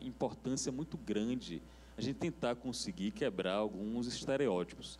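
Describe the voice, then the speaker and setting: Vocal fry runs through a man's medium-pitched voice. He talks at a moderate pace with very wide pitch swings. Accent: Bahian. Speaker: TV industry panelist. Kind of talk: panel discussion.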